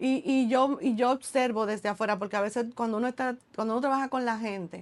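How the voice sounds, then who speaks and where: With a fairly high pitch and ordinary pitch variation, a woman talks at a very fast pace. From Dominican Republic, Santo Domingo. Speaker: entrepreneur and author. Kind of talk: casual interview chat.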